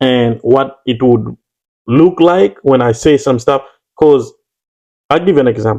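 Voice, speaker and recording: A man with a Ugandan accent at a fairly slow pace, his loudness very even, his pitch variation ordinary, and his pauses long and frequent. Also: medium pitch for a man. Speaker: YouTuber. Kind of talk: casual chat.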